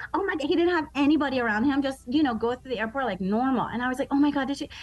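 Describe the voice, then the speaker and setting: Over noticeable background noise, a woman with an American accent speaks at a high pitch. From Baltimore, Maryland, US. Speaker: comedian. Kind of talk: casual radio interview. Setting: video call from Baltimore. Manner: animated, joking.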